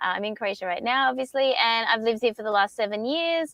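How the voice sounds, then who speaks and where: A woman talks with an Australian accent and ordinary pitch variation. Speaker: co-working space founder. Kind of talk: panel discussion.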